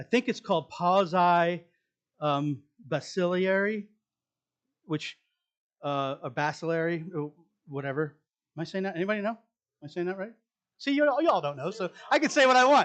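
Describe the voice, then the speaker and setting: Long, frequent pauses break up speech that makes very wide pitch swings. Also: man, high pitch for a man. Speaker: pastor. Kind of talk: sermon. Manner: fast.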